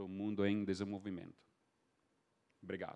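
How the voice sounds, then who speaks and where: A man with a fairly low pitch at a fairly quick pace. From Texas, US. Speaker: foreign correspondent. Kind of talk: panel talk.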